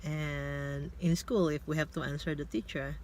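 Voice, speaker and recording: A woman with a Filipino accent at a moderate pace. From Philippines. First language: Tagalog. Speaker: vlogger. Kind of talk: casual vlog monologue. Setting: in a car.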